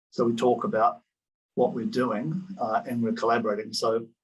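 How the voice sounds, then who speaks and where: Speaking fairly quickly with lively intonation, a man with a New Zealand accent keeps to a medium pitch. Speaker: professor. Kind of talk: conference presentation.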